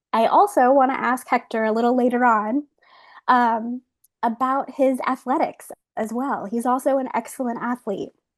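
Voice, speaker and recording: A high-pitched woman's voice with ordinary pitch variation, dry and close with no echo, against a quiet background. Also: moderate pace. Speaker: museum curator. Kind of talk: online art talk interview.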